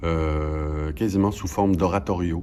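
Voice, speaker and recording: A man with a very deep, low pitch talks at a very slow pace using lively intonation. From Quebec, Canada. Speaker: stage actor. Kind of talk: interview answer.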